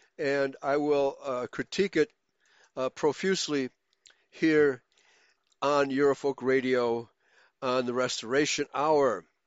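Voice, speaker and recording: Speaking at a fairly slow pace, a man with a fairly high voice keeps a fairly even intonation and leaves long, frequent pauses. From Germany, raised in the US from age four. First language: German. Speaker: pastor and internet radio host. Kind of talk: bible study lecture. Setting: online voice chat room broadcast.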